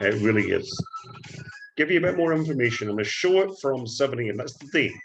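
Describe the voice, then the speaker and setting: A man with a Scottish accent talks at a very fast pace with lively intonation. Noticeable background noise runs under his speech. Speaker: forex trading educator. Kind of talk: screen-share trading tutorial.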